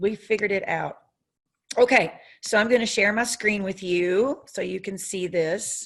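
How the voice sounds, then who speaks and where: In an American accent, a woman talks at a moderate pace with a medium pitch, ordinary pitch variation and a quiet background. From US South. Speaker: software trainer. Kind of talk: training webinar. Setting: video call with screen share. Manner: frequent fillers (um, uh). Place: home room. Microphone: webcam.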